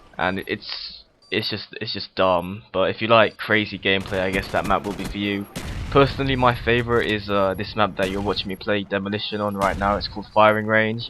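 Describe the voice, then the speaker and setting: Speaking at a fairly quick pace, a man with a fairly low pitch keeps a monotone, flat intonation. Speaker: gaming commentator. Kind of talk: gameplay commentary. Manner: fast; casual, hesitant with fillers.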